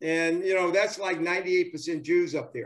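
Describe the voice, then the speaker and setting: With a Southern US accent, a man talks at a moderate pace in a high pitch with ordinary pitch variation. The background is quiet. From US South. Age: 70s. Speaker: former professional baseball player. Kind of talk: interview. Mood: enthusiastic, nostalgic. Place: home room. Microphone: video call.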